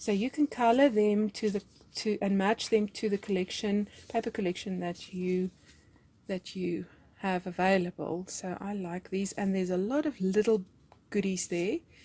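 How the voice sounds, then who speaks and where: In a South African accent, a woman speaks at a moderate pace with a medium pitch, ordinary pitch variation and a dark, mellow, somewhat breathy tone. The sound is dry and close, with no echo. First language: Afrikaans. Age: 40s. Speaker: crafts YouTuber. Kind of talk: craft haul and tutorial chat. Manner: hesitant, many fillers.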